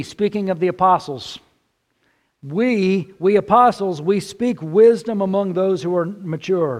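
This man's voice is high-pitched, with ordinary pitch variation and a Texan accent. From central Texas. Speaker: pastor. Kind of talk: sermon.

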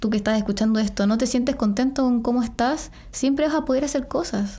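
Her tone is dark and mellow. The woman's pitch is fairly high, with ordinary variation. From Chile. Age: 20s. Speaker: model. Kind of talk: casual chat.

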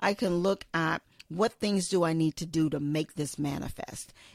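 A woman with a normal speaking voice, a fairly low pitch, fairly even intonation and a moderate pace. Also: dry, close sound with no echo. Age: 50s. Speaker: podcast host. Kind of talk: solo podcast monologue. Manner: casual with frequent fillers.

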